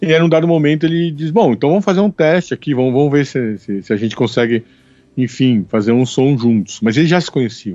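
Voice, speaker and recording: Talking at a very fast pace, a man uses lively intonation and a fairly high pitch with a dark, mellow tone. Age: 40s. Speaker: podcast co-host, academic. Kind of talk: casual chat about film. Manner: halting, with repeated fillers.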